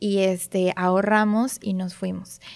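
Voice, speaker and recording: Her pitch is medium and her intonation fairly even as this woman talks in a normal speaking voice. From northern Mexico (Monterrey). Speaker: optometrist. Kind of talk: casual interview.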